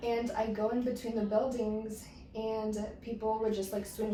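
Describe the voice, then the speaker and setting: A woman's fairly high, monotone voice at a moderate pace, with noticeable background noise and audible room echo. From Mexico. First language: Spanish. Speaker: guest sharing personal story. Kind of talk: casual interview.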